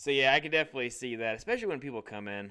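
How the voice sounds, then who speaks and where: Bright, sharp male voice at medium pitch with a Midwestern American accent and ordinary pitch variation, on a very clean recording with a silent background. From US Midwest, Illinois. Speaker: podcast host. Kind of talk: casual chat.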